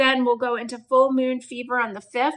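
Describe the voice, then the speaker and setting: A woman speaks with a high-pitched voice. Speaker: astrologer and tarot reader. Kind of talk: astrology forecast talk. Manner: casual, chatty.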